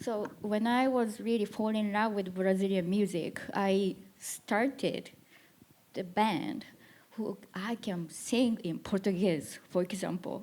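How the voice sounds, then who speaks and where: Speaking at a very slow pace in a Japanese accent, a woman keeps her medium-pitched voice fairly even in intonation. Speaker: musician and producer. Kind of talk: panel discussion. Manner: halting.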